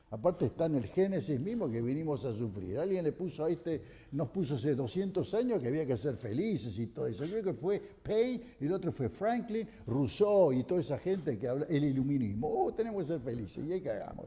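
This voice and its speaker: Fairly high-pitched, dark, mellow male speech with vocal fry, very wide pitch swings, a fairly quick pace and hardly any pauses. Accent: Argentine. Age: 70s. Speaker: economy commentator on TV panel. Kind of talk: TV panel discussion. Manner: animated.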